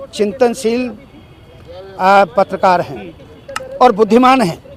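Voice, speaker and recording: A man speaks at a high pitch with ordinary pitch variation. Noticeable background noise is present. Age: 70s. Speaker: party worker being interviewed. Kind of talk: interview. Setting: room with seated audience.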